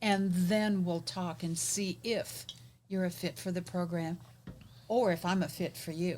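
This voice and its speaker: This woman's voice sits fairly low and sounds somewhat breathy. She talks at a fairly slow pace with ordinary pitch variation. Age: 70s. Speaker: business coach and podcast host. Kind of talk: casual interview chat.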